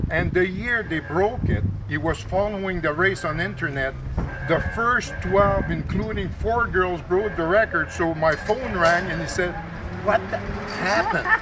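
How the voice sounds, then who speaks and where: Someone with a Quebec accent talks at a fairly slow pace amid noticeable background noise and audible room echo. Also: man. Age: 60s. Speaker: swim coach and event volunteer. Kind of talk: interview.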